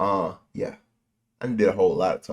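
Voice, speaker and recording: A male speaker in an American accent. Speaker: YouTube movie reactor. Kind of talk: casual reaction video chat. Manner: rambling, animated. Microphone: good microphone, volume turned low.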